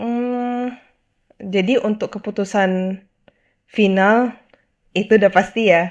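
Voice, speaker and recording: This woman's fairly high voice moves at a very slow pace, its pitch varying in an ordinary way. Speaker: video host. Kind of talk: solo monologue, casual video commentary. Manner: casual, mixes English phrases.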